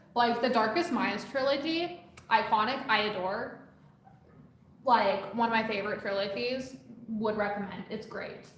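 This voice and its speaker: A woman's fairly high voice at a moderate pace with ordinary pitch variation and long, frequent pauses, amid noticeable background noise and audible room echo. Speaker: aspiring musician and uni student streamer. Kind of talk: casual chat while painting on a live stream. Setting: live stream. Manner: loud; talkative, chatty.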